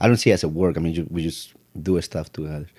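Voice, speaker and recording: In a Spanish accent, a man talks very fast with a very deep, low pitch, a dark, mellow tone, vocal fry and ordinary pitch variation, all in a very clean recording against a silent background. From Mexico City. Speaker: piano technician. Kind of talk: casual chat.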